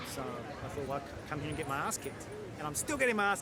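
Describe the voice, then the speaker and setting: With an Australian accent, a man talks at a very fast pace with ordinary pitch variation over noticeable background noise. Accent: Australian, obvious. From Australia, Sydney suburbs. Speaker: jazz bandleader and musician. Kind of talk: interview. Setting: outdoors in a park.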